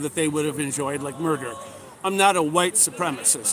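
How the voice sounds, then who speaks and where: A man talks at a fairly quick pace with an American accent. His tone is animated, and there is noticeable background noise. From Minnesota (Edina). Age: 60s. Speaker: political candidate. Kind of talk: street interview.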